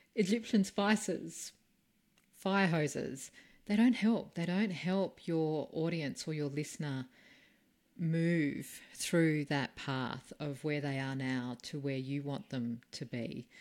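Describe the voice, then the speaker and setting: On a very clean recording with a silent background, a woman with an Australian accent speaks very slowly in a very deep, low pitch, using lively intonation. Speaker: podcast host and speaking coach. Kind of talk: interview.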